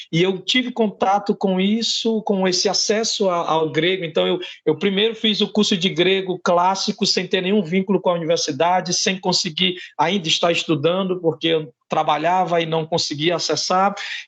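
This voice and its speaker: A man's high-pitched voice in a strong Ceará accent, moderate in pace with hardly any pauses, very even in loudness and fairly even in intonation. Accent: thick Ceará Northeastern Brazilian. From Ceará, Brazil (Northeast). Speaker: philosophy professor. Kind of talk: interview. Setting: podcast interview.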